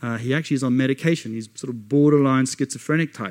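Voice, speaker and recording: A man with an Australian accent talks at a fairly quick pace in a medium-pitched voice with fairly even intonation. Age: 40s. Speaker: missionary. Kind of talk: sermon.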